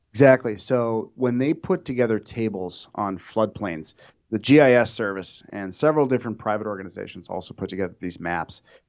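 With an unremarkable speaking voice, a man talks at a fairly quick pace in an American accent. His pitch is fairly low, with ordinary variation. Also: quiet background. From Minnesota, US Midwest. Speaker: insurance underwriter. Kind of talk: interview. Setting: studio.

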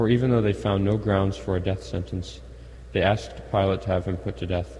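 Very deep and low, this man's voice carries vocal fry and very wide pitch swings. He talks at a fairly quick pace. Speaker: Mass lector. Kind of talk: scripture reading aloud.

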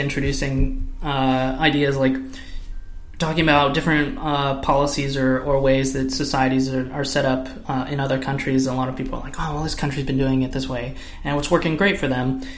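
Music plays behind a man speaking with an American accent. His voice sits fairly high, with audible room echo. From California. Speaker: podcast co-host. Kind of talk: casual tech discussion.

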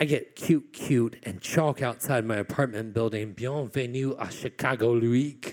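Fairly slow and at medium pitch, a man talks in an unremarkable speaking voice with ordinary pitch variation. The recording is very clean, with a silent background. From Virginia (Glade Spring, Appalachia). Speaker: poet. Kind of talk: live storytelling performance. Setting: stage with audience.

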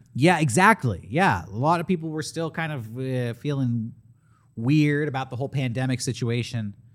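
Talking at a moderate pace, a man of medium pitch uses lively intonation in a plain, everyday voice. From San Diego, California. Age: 30s. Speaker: podcast host. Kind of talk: casual chat; sales pitch.

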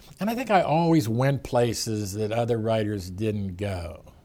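With a Pittsburgh accent, a man speaks at medium pitch and a moderate pace, his dark, mellow tone carrying lively intonation. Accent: Western Pennsylvania (Pittsburgh). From Pittsburgh, Pennsylvania. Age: 70s. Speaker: sportswriter and author. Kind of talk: interview. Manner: halting.

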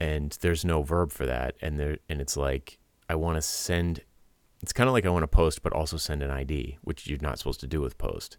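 A man with an American accent, very deep and low in pitch, with ordinary pitch variation and a fairly quick pace. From US Northeast, Rhode Island. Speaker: podcast host, web developer. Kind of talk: casual tech chat. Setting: Skype call.

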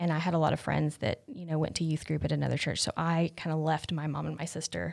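A woman with an American accent at a moderate pace, in a very clean recording with a silent background. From western North Carolina mountains. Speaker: church member. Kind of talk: casual chat.

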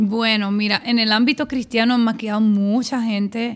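A woman with a Puerto Rican accent speaks at a moderate pace in a fairly high voice. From Puerto Rico, San Juan. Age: 40s. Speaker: pastor and stylist. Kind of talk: interview.

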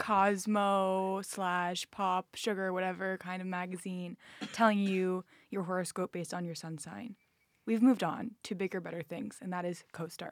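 A woman with an ordinary speaking voice talks at a moderate pace and medium pitch, her intonation fairly even but her loudness swinging widely. The recording is very clean with a silent background, and the sound is dry and close with no echo. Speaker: student, longtime listener. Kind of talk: casual chat.

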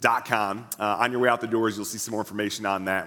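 A man's bright, sharp tone comes through at a fairly quick pace. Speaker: pastor. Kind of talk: church announcements. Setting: church with audience.

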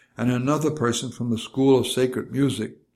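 Fairly quick speech from a man with a New York accent, medium in pitch. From New York City. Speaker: memoir narrator, retired minister. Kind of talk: reading aloud from a memoir, scripted narration.

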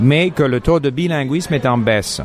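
The voice shows ordinary pitch variation. Background noise is noticeable. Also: man. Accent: English. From Montreal, Canada. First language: English (speaking French). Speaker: podcast host. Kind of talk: casual chat. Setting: cafe. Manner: halting, frequent repetitions.

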